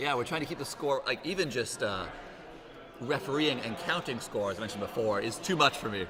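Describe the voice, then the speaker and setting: A man with a Canadian accent at a very fast pace, lively in intonation, amid noticeable background noise and audible room echo. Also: medium pitch for a man. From Canada. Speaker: fencing commentator. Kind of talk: live sports commentary. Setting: hall with live audience, livestream.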